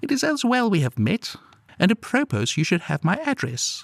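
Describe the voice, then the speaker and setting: Putting on a character voice, a man speaks at a moderate pace in a high, husky, growling voice with very wide pitch swings. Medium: read story. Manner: furtive, evasive, then snarling.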